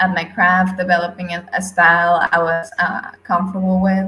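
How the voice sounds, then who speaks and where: A woman with a non-native accent speaks at a medium pitch in a bright, sharp tone. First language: not English. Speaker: NFT artist. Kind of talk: interview. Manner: halting.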